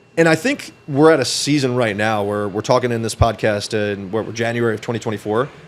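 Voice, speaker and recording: Over noticeable background noise, a man talks at a fairly quick pace and a medium pitch, with ordinary pitch variation and hardly any pauses. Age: 20s. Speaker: entrepreneur and financial advisor. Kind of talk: podcast interview. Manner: fast.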